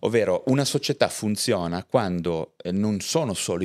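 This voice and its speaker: A man speaks at a moderate pace with a fairly low pitch. His pitch swings very widely against a quiet background. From Liguria, Chiavari; Liguria. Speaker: psychiatrist; guest. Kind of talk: casual interview. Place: studio. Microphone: studio mic.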